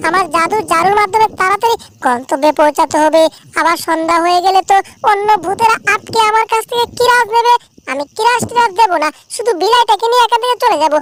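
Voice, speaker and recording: A cartoonish character voice that sounds female comes across squeaky and cackling at an extremely high pitch. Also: moderate pace. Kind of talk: comic overacting. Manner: teasing, gloating, cackling.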